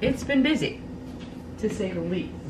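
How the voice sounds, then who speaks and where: Behind the woman talking, background noise is noticeable. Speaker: lifestyle vlogger. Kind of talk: casual vlog chat. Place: home room. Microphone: camera far.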